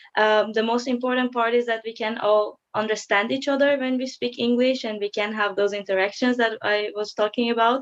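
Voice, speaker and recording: With a Persian accent, a woman talks at a fairly quick pace and fairly high pitch, in a flat monotone with hardly any pauses. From Iran. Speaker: psychology student. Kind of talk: video call interview. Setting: video call. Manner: hesitant, many fillers.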